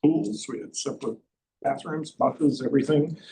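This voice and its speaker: A man talks at a moderate pace. His tone is dark and mellow, and somewhat breathy. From US South, North Florida. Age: 70s. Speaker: scientist professor. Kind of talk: personal testimony talk. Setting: luncheon with audience.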